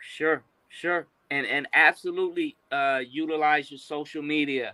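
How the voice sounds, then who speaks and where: A fairly slow pace with big swings in loudness. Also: man. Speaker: film and media professional. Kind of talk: podcast interview answer.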